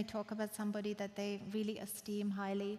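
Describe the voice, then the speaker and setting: With a non-native accent, the speaker moves along at a moderate speed. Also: woman. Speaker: guest preacher at church. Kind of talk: sermon. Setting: church with congregation.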